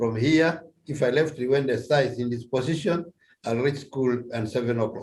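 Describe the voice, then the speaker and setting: At a moderate pace, a man with a Ugandan accent talks at medium pitch, somewhat breathy, with fairly even intonation. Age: 70s. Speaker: retired policeman. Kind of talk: interview answer.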